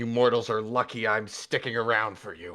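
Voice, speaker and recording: A growling, put-on character voice from a man at medium pitch, moderately paced, in a very clean recording with a silent background. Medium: actual play. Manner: commanding, gruff.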